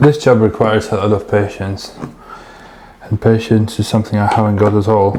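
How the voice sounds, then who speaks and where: Over noticeable background noise, a man speaks fairly quickly in a fairly low, flat, monotone voice. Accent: non-native. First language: not English. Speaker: DIY video maker. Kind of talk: casual vlog narration while working. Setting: indoors, door open behind.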